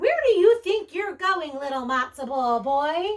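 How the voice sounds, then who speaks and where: A woman's squeaky put-on character voice, extremely high in pitch with very wide pitch swings, at a fairly slow pace. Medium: read story. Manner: fussing, motherly.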